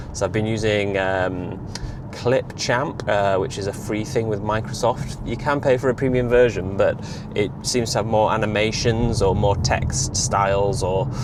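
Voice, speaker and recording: A man speaks at a fairly low pitch with ordinary pitch variation. Room echo is audible, and background noise is noticeable. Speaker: EV vlogger. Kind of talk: casual vlog monologue. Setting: in a car. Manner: fast; hesitant, many fillers.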